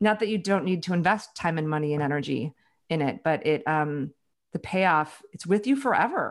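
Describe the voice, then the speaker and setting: A woman with an unremarkable speaking voice talks at a moderate pace. Her pitch is fairly low, with lively intonation. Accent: American. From US Midwest, Chicago. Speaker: author and leadership advisor. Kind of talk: interview.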